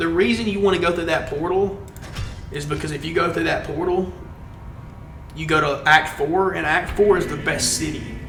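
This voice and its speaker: A man with a Southern US accent, music in the background and audible room echo. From Alabama, US South. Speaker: video game streamer. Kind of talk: live stream gameplay chat. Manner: casual, conversational.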